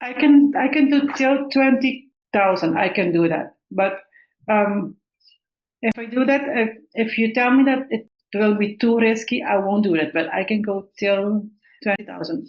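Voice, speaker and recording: With a non-native accent, a woman speaks at a fairly slow pace in a fairly high pitch, her intonation lively. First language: not English. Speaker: aspiring Amazon seller. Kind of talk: coaching consultation. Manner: halting.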